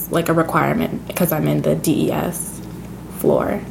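Over noticeable background noise, a woman in an American accent speaks at a moderate pace. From US Pacific Northwest (Seattle/Tacoma area). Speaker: college student. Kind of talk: casual interview.

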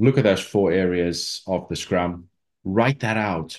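Over a quiet background, a man speaks in a very deep, low voice. His pitch varies an ordinary amount. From South Africa. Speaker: rugby coach and former player. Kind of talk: interview conversation.

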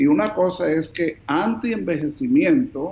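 A man's high voice at a very slow pace, with very wide pitch swings. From New Jersey, raised by Colombian parents. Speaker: physician. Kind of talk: interview.

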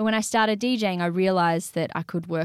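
A woman with an Australian accent speaks at a fairly quick pace and a fairly low pitch with ordinary pitch variation, in a very clean recording with a silent background and a dry, close sound with no echo. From Australia, Sydney. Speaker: singer-songwriter and DJ. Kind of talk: interview.

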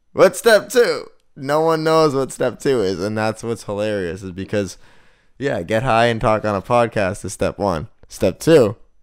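Recorded very cleanly against a silent background, a man with an American accent talks at medium pitch and a moderate pace, using lively intonation in a normal speaking voice. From Boston area, Massachusetts. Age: 20s. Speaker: podcast co-host. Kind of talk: casual chat.

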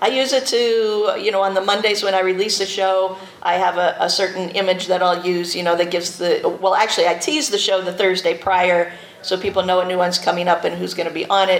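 Noticeable background noise is present. A woman of medium pitch talks at a fairly quick pace with fairly even intonation. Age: 40s. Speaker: podcast host. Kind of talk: convention panel talk.

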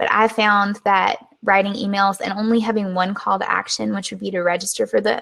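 A woman with a Southern US accent, a bright, sharp tone at medium pitch, monotone, flat intonation and a fairly quick pace. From US South. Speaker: webinar and business podcast host. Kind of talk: casual educational talk, live stream. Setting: live stream recording. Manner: conversational, relaxed, unscripted.

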